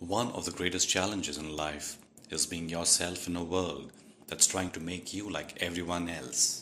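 Over noticeable background noise, a man speaks in a very deep, low voice with fairly even intonation. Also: moderate pace. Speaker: voice-over artist. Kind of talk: moral story narration for kids.

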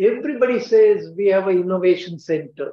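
In an Indian accent, a man with a high pitch speaks at a moderate pace, with audible room echo. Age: 80s+. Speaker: scientist and entrepreneur, keynote speaker; keynote speaker. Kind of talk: keynote lecture. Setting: stage with audience. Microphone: video call.

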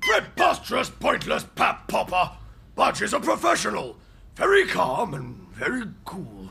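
A man in a put-on character voice at a moderate pace. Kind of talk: military bark. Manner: pompous, blustering.

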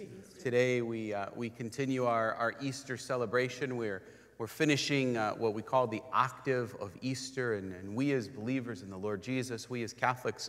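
At a moderate pace with ordinary pitch variation, the voice shows big swings in loudness against a quiet background. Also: man. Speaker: priest leading Mass. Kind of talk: liturgical greeting and introduction. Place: church.

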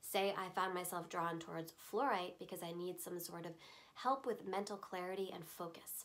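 A woman speaks quickly-ish, at a fairly quick pace, her fairly low voice showing vocal fry and fairly even intonation. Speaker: voiceover artist, crystal teacher. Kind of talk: instructional explanation to camera. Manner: calm, conversational. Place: shop.

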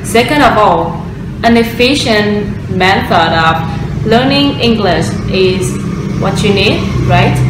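A woman with a Vietnamese accent at a very slow pace, over noticeable background noise. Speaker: former student of an English course. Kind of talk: course testimonial. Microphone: webcam.

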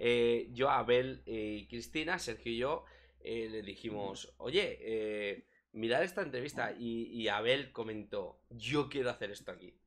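At a fairly slow pace, a man with a Spanish accent speaks with big swings in loudness. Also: medium pitch for a man, ordinary pitch variation. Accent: Peninsular Spanish. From Spain, small town. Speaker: crypto streaming show host; stream co-host interviewer. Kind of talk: casual live stream chat. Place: home room. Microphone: headset.

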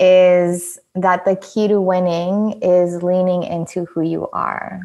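Monotone, flat intonation at a very slow pace. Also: woman. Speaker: podcast host. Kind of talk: casual chat. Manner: laughs often.

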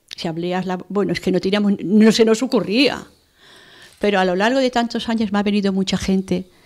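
A woman talks at a fairly quick pace with fairly even intonation against a quiet background. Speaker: medium and healer; radio guest. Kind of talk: interview. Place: studio. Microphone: studio mic.

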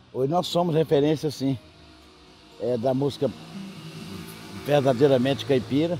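A man with a rural Minas Gerais accent and a fairly high pitch, at a moderate pace with ordinary pitch variation, in a dry sound with no echo and music in the background. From Minas Gerais, Brazil. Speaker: country music singer. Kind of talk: interview answer. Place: garden.

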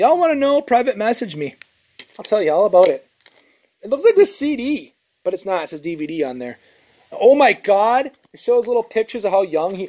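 With an animated tone, a man speaks in a high voice at a fairly quick pace, his pitch swinging very widely and his loudness rising and falling a lot, broken by long, frequent pauses. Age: 20s. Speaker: YouTuber showing garage sale finds. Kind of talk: casual vlog. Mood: amused, mildly frustrated. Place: garage. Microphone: phone near.

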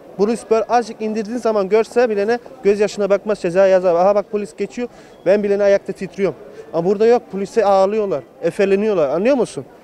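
Against light background noise, a man with a high voice talks very fast with ordinary pitch variation, the sound dry with no echo. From Germany (Munich), Turkish family; Germany. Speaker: returned emigrant, electrician; interviewee. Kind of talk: street interview. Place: street. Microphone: handheld.

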